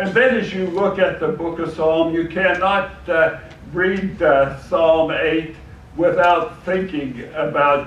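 A fairly slow pace, with audible room echo and light background noise. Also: man. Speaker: preacher. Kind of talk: sermon. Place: church.

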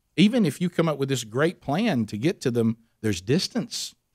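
The background stays quiet. A man rattles off his words very fast. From US South, Alabama. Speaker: radio host. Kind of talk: interview. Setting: studio. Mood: earnest, reflective storytelling. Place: studio. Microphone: studio mic.

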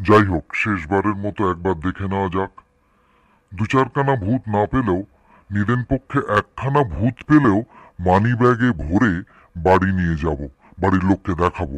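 A man performs a put-on character voice at a fairly low pitch and a moderate pace. The background is quiet.

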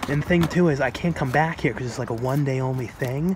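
A man speaks with fairly even intonation in a dry sound with no echo, over light background noise. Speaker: collector vlogger. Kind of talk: casual vlog chat. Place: street. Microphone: phone near.

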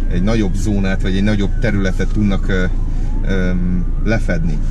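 The sound is dry, with no echo, and there is noticeable background noise. The pace is moderate. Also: man. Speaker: delivery courier vlogger. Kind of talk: casual vlog chat. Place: car. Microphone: camera far.

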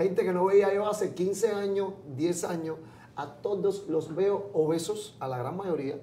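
In a room with audible echo and light background noise, a man with a high pitch speaks at a fairly slow pace. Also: ordinary pitch variation. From Cuba, Pinar del Río; Cuba. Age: 40s. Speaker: comedian. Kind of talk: interview. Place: studio. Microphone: lapel.

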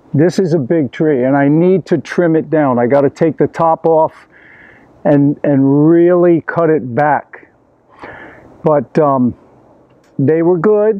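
A man at a very slow pace with long, frequent pauses, in a dry sound with no echo. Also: ordinary pitch variation. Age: 70s. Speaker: vegan coach and tennis teacher. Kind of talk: casual video tour. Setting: outdoors in a garden. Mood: relaxed, pleased. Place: garden. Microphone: phone near.

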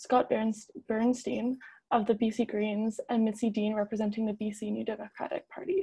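Somewhat breathy and dark, mellow in tone, the voice moves at a moderate pace. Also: woman. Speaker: debate moderator and journalist; debate moderator, journalist. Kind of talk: moderating a debate. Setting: video call. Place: home room. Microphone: earbuds.

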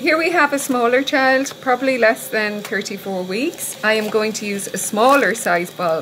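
With noticeable background noise behind her, a woman speaks at a moderate pace with ordinary pitch variation. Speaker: clinical educator. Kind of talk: tutorial.

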